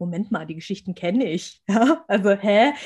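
With a normal speaking voice at a medium pitch, a woman talks at a fairly quick pace. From Germany, rural village. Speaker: abuse recovery coach and podcaster. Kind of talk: casual interview.

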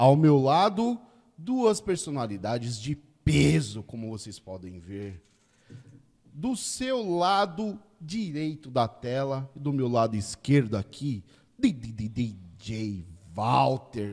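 A man talks at a very slow pace with a medium pitch. His pitch swings very widely and his loudness shifts by large amounts. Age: 40s. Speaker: podcast host. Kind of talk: casual chat. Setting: studio. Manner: animated.

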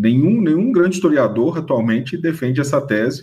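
A man's speech rises and falls with lively intonation at a moderate pace. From Minas Gerais, Brazil (Ouro Preto area). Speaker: history professor and author. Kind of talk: radio interview. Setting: radio studio. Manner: halting, with repetitions.

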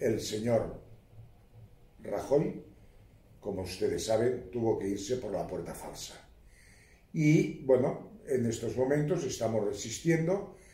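A man's dark, mellow, somewhat breathy voice at medium pitch, with very wide pitch swings, a very slow pace, long and frequent pauses, and audible room echo. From Spain, Catalonia (Baix Empordà, Girona). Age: old. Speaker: court expert witness. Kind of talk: casual interview.

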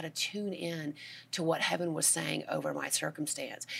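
A woman talks at a moderate pace in an unremarkable speaking voice. Her pitch sits fairly low, with ordinary variation. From US South, Georgia. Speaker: author and minister. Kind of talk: interview testimony.

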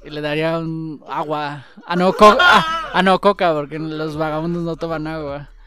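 Amid noticeable background noise, a man with a Mexican accent talks in a fairly high pitch with fairly even intonation and hardly any pauses. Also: fairly slow pace, big swings in loudness. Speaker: podcast host. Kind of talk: casual chat.

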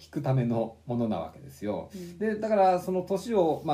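A man speaks with a dark, mellow tone and a somewhat breathy quality, his pitch swinging very widely. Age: 40s. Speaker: book podcast co-host. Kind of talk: casual chat. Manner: hesitant, many fillers.

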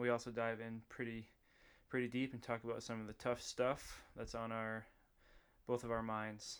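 Speaking at a medium pitch, a man delivers his words in a flat monotone. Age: 30s. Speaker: podcast host. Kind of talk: casual chat. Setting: studio.

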